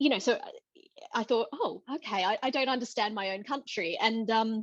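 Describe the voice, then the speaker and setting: A woman with an Australian accent talks in a high pitch against a quiet background. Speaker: theatre director. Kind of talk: panel discussion. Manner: halting.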